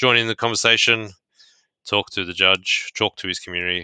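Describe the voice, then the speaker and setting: A man talks fairly quickly in an Australian accent with a bright, sharp tone and flat, monotone intonation. The recording is very clean with a silent background and a dry, close sound with no echo. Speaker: podcast host. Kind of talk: casual chat.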